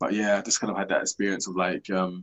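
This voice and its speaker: A man speaks at a fairly quick pace with a London accent. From South East London, England. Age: 30s. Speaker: podcast host. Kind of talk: interview.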